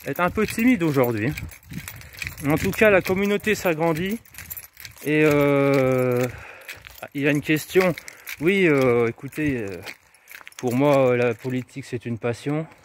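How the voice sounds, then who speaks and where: Over noticeable background noise, a man with a fairly high pitch speaks at a very slow pace. His intonation is lively, and he leaves long, frequent pauses. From France, Moselle (north-east). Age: 30s. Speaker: local councillor and vlogger. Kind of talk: casual live vlog answering viewer questions. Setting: outdoors, walking street delivering flyers. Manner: hesitant, many fillers.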